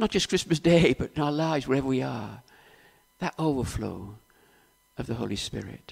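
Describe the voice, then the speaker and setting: A man with a South Wales accent, medium pitch, vocal fry and lively intonation, at a moderate pace with long, frequent pauses. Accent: Welsh (south Wales). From Wales, Cardiff area. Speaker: preacher. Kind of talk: sermon.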